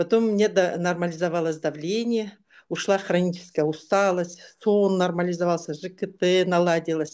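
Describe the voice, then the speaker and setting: Against a quiet background, a woman with a fairly low pitch and a dark, mellow tone speaks at a moderate pace with ordinary pitch variation. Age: 60s. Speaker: product testimonial giver. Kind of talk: testimony.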